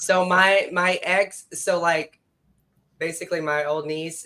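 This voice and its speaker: A woman in an East Texas accent, her intonation fairly even. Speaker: podcast co-host. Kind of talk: casual chat.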